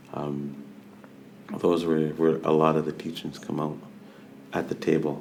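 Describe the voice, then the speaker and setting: A man at a very deep, low pitch and fairly slow pace, with fairly even intonation, audible room echo and noticeable background noise. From Vancouver Island, British Columbia (Coast Salish, Snuneymuxw/Nanaimo). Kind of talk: podcast interview, personal storytelling.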